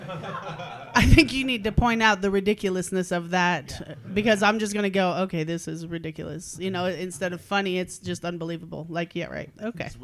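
A woman's medium-pitched voice at a fairly quick pace, with big swings in loudness, hardly any pauses and noticeable background noise. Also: ordinary pitch variation. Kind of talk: casual critique, workshop.

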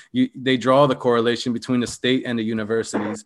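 With an American accent, the speaker talks at a very fast pace. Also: man. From Philadelphia, US. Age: 30s. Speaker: political activist. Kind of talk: casual chat.

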